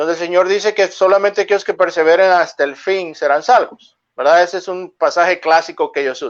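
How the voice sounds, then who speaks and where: A man's fairly quick, high-pitched speech with fairly even intonation and hardly any pauses. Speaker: pastor. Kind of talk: religious discussion. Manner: fast.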